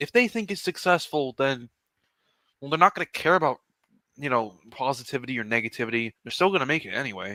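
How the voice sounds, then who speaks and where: The voice is quiet, with a bright, sharp tone and a fairly quick pace. The sound is dry and close, with no echo. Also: man. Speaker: streamer. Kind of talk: casual chat.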